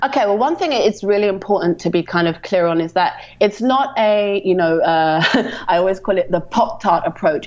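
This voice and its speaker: In a British accent, a woman speaks at a medium pitch. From London, England. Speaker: ecommerce marketing strategist. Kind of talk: podcast interview.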